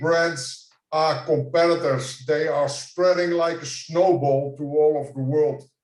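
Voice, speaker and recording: A man with a Dutch accent speaks at a fairly slow pace and fairly high pitch, his intonation monotone and flat. He leaves hardly any pauses. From Netherlands. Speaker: franchise consultant. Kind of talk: conference presentation.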